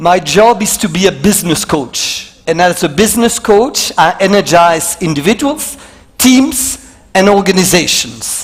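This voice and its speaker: With a French accent, a man with a high pitch and lively intonation speaks at a fairly slow pace amid noticeable background noise. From Belgium. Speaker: motivational speaker. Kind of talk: keynote talk. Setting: stage with audience.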